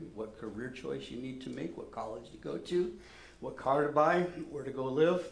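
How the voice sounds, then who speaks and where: A man speaks at a moderate pace with lively intonation, big swings in loudness and vocal fry. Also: medium pitch for a man. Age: 60s. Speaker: pastor. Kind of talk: sermon. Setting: church.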